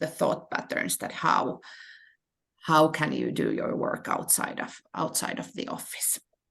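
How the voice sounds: A woman with a low pitch and fairly bright tone speaks at a fairly slow pace, her voice making very wide pitch swings and showing vocal fry.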